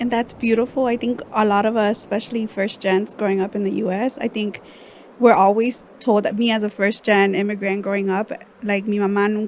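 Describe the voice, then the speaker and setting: Speaking at a fairly quick pace, a woman with a Spanish accent uses a fairly high pitch and fairly even intonation. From Los Angeles, California (Mexican-American). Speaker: podcast host. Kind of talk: casual chat.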